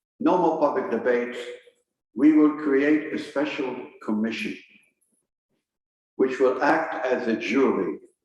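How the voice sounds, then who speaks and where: Speaking at a fairly slow pace, a man leaves long, frequent pauses, with audible room echo around him. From Belgium. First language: French. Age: 80s+. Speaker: historian. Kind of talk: lecture.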